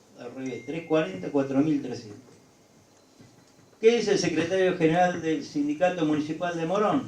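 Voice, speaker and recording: A man's fairly high, lively voice with big swings in loudness and long, frequent pauses, amid audible room echo and noticeable background noise. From Argentina, rural Buenos Aires province. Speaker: union leader. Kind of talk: lecture.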